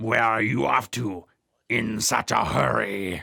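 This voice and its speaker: This put-on character voice is low-pitched and raspy, delivered at a fairly slow pace. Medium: read story. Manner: sly, chuckling.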